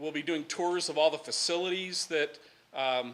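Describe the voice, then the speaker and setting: A man talks at a fairly quick pace with a bright, sharp tone. His pitch is fairly high and his intonation fairly even. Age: 60s. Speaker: sanitary district official. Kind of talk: public presentation. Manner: casual, joking.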